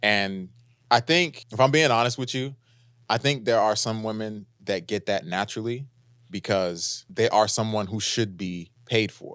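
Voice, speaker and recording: On a very clean recording with a silent background, a man with a plain, everyday voice speaks at a medium pitch and a moderate pace, his pitch showing ordinary variation. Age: 30s. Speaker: podcast host. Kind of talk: casual chat.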